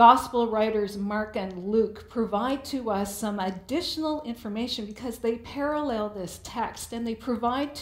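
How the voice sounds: Ordinary pitch variation across a natural reading voice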